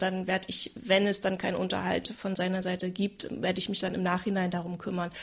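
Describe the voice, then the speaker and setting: A woman speaks at a moderate pace and medium pitch. Her intonation is flat and monotone, with noticeable background noise behind her. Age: 30s. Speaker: single mother sharing her experience. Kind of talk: personal testimony in a conversation.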